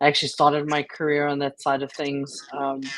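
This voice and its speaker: The woman's pitch is very deep and low. She speaks at a fairly quick pace. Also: dry, close sound with no echo. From South Africa. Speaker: creativity and change coach. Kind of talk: interview.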